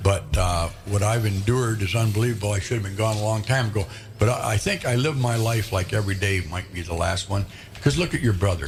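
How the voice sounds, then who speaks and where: At a very fast pace, a man with an American accent speaks in a fairly low pitch with ordinary pitch variation over noticeable background noise. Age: 70s. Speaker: radio show host. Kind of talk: casual chat.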